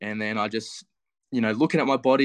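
Speech comes at a very fast pace in an Australian accent, with fairly even intonation. The sound is dry and close with no echo, over a quiet background. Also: man. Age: 20s. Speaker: physiotherapy student, fitness challenge finalist. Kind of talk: casual interview.

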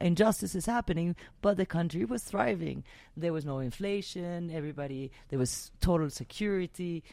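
A woman with a Spanish accent, fairly low in pitch with a dark, mellow tone, lively intonation and a moderate pace, on a very clean recording with a silent background. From Venezuela. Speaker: podcast host. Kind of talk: casual interview chat. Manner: animated.

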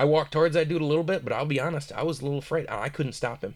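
A man with an American accent talks at a very fast pace in a somewhat breathy, fairly high voice, recorded very cleanly with a silent background. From Michigan. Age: 20s. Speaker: aspiring filmmaker. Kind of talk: casual chat.

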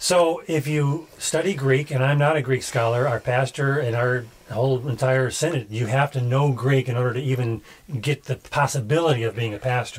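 A man talks at a moderate pace in a medium pitch. His pitch varies in an ordinary way, with noticeable background noise behind him. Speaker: podcast host critiquing sermons. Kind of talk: casual commentary chat.

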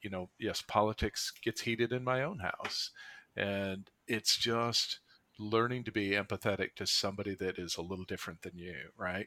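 Here a man speaks with a fairly low pitch but a bright, sharp tone, his intonation fairly even. His pace is moderate, and the recording is very clean with a silent background. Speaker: podcast host. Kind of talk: casual chat.

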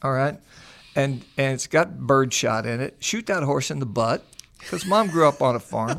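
A plain, everyday voice with lively intonation speaks at a moderate pace. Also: man, medium pitch for a man. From US Midwest, near Springfield, Missouri. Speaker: construction loan advisor. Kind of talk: storytelling in casual chat.

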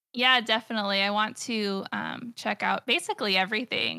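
A woman's fairly high, bright and sharp voice with vocal fry, ordinary pitch variation and an American accent, in a dry, close sound with no echo on a very clean recording with a silent background. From United States. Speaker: comic artist and streamer. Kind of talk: casual chat.

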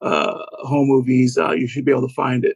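Recorded with a dry, close sound and no echo, a man speaks at a medium pitch with vocal fry. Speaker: author and fan. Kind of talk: casual interview.

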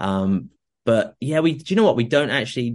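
Against a quiet background, a man with a southern English accent talks at a fairly quick pace. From southern England (Oxfordshire). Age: 20s. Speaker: fitness coach and former kayak athlete. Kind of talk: casual interview chat.

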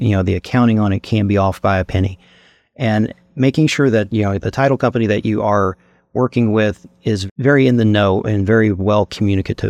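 This man talks at a fairly quick pace with a fairly low pitch and fairly even intonation, the sound dry and close with no echo against a quiet background. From Eastern Kentucky, Appalachia. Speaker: real estate podcast host. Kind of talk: casual interview. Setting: studio.

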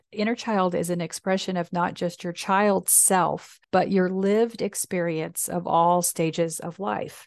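A woman with an unremarkable speaking voice talks at a moderate pace, medium in pitch with fairly even intonation. The sound is dry and close with no echo, over a quiet background. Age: 60s. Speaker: minister and podcast host. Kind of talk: reflective personal storytelling, spiritual talk. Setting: solo podcast recording. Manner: warm, reflective.

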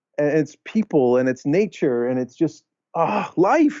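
A man speaks at a fairly slow pace. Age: 40s. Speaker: author and kindness speaker. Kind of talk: interview. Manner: halting, many repeated words.

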